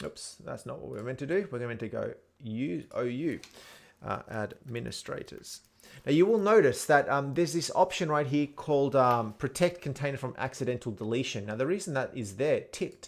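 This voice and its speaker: A man talks at a moderate pace with an Australian accent. His fairly high voice carries lively intonation. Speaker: tech tutorial presenter. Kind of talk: tutorial. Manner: casual, with fillers.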